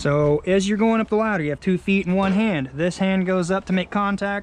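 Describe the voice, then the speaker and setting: Against light background noise, a high-pitched man talks at a moderate pace in a dry sound with no echo. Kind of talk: tutorial. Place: garden. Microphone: phone near.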